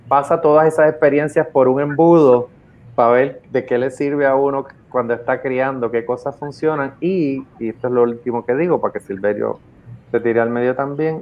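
A plain, everyday voice from a man, medium in pitch, fairly quick, with ordinary pitch variation. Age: 50s. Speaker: podcast co-host. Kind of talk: casual chat.

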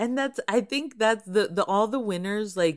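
A woman with an American accent and a plain, everyday voice, lively intonation, and a fairly slow pace. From Texas. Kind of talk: casual chat. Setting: soundproof booth, remote.

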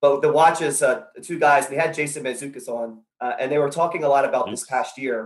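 A man with a fairly high pitch has an ordinary speaking voice, talking at a fairly quick pace with hardly any pauses. His intonation stays fairly even while his loudness swings a lot. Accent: American. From South Carolina. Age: 30s. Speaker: caller. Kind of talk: casual chat.

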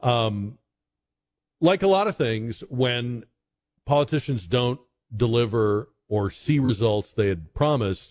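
A man's voice, somewhat breathy and mid-pitched, moves up and down in an ordinary way. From New England. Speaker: radio host. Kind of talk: talk radio commentary. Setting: radio studio, live.

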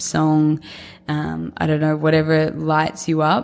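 A woman with an Australian accent on a very clean recording with a silent background. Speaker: podcast host and founder. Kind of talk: solo podcast monologue. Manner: casual, conversational, filler words.

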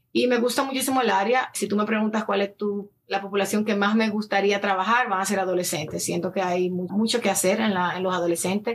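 A woman talks at a fairly quick pace with hardly any pauses. Her pitch is medium and her loudness very even. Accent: Dominican. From Dominican Republic. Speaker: lifestyle influencer and addiction counselor. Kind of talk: casual interview.

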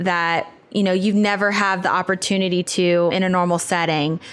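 In a very clean recording with a silent background, a woman with an American accent uses a normal speaking voice at medium pitch, speaking at a moderate pace with fairly even intonation. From US South, southern Louisiana. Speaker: facilitation community manager. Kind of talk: interview conversation.

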